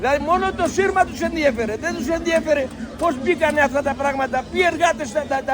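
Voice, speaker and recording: A man's extremely high-pitched voice at a moderate pace, with fairly even intonation and crowd noise in the background. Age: 70s. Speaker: farmer. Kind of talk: protest speech.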